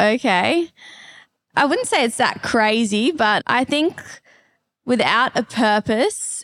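In an Australian accent, the speech comes very slowly with a dry, close sound and no echo. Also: woman. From Perth, Western Australia. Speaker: pole vaulter and online fitness coach. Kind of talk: casual interview. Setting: live at a fitness retreat in Bali.

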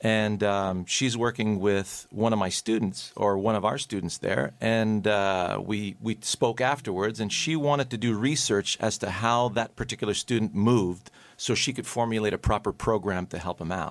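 Speaking at a moderate pace with hardly any pauses, a man uses a normal speaking voice with a fairly low pitch and ordinary pitch variation. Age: 50s. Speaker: golf teacher. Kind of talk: casual radio chat. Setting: radio studio.

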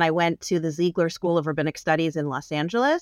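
On a very clean recording with a silent background and a dry, close sound with no echo, a woman with an ordinary speaking voice talks at a fairly low pitch and a fairly quick pace. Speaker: rabbi. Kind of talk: casual interview.

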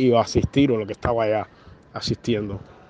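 Here a man talks in a medium pitch with monotone, flat intonation. There is noticeable background noise. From Cuba. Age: 30s. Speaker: journalist. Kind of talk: interview. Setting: phone call. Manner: halting, many fillers and repetitions.

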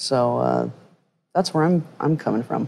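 Fairly slow speech with an American accent. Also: woman. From Utah. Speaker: harm reduction nonprofit founder. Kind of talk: panel conversation. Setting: live podcast at a conference.

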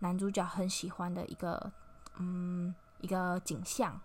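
The voice belongs to a woman. It has a somewhat breathy quality. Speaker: podcast host. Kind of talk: casual solo podcast talk. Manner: halting, many fillers.

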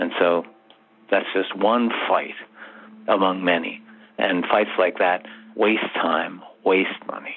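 A man with a very deep, low pitch speaks at a very slow pace in a monotone, flat intonation, with long, frequent pauses and noticeable background noise. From England. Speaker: contract drafting consultant and author. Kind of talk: interview.

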